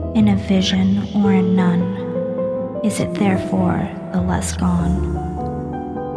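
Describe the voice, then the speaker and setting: A woman is speaking. Loud music plays behind her. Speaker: poetry reader, ASMR creator. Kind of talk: poetry reading. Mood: gothic, melancholy.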